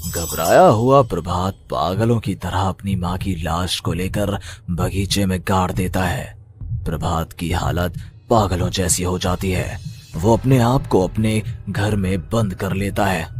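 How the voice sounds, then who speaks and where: Doing a cartoonish character voice with a very deep, low pitch, a man speaks at a moderate pace over clear background noise. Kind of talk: horror narration. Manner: dramatic, suspenseful.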